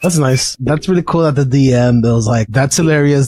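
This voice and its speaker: A man's lively intonation in an ordinary speaking voice, on a very clean recording with a silent background. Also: dry, close sound with no echo. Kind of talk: casual reaction commentary.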